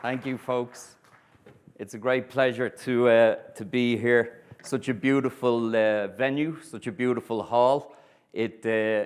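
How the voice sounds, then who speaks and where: In an Irish accent, a man speaks at a fairly slow pace with monotone, flat intonation. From Ireland. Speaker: historian and tour guide. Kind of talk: lecture. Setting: stage with audience. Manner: deliberately clear.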